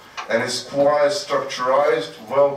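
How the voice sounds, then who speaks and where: Speaking very slowly with a non-native accent, a man uses a fairly high pitch and ordinary pitch variation, with audible room echo and noticeable background noise. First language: not English. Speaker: conference keynote speaker. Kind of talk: conference talk. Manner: halting, many fillers and repetitions.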